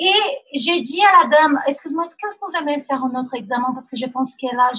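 A woman speaks in a raised, projected voice with a Portuguese accent. Her pitch varies in an ordinary way. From Brazil. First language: Portuguese (speaking French). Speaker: mother sharing birth story. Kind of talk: testimony. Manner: halting.

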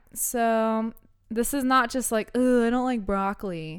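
In a very clean recording with a silent background, a woman with an ordinary speaking voice talks at a fairly slow pace, her fairly high pitch showing ordinary pitch variation. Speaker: podcast host. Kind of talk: casual chat, reading from notes. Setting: studio, recording with microphone.

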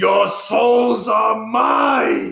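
Pitching his voice high, the man performs a put-on character voice. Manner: menacing.

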